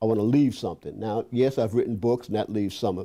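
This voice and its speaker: In an American accent, a man speaks with a dark, mellow tone. The recording is very clean and the background silent. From Boston, Roxbury. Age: 70s. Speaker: psychologist and professor. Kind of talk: interview. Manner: halting, frequent repetitions.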